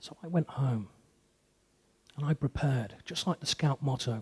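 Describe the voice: A man talks at a fairly slow pace with medium pitch, ordinary pitch variation, and a husky, rough edge.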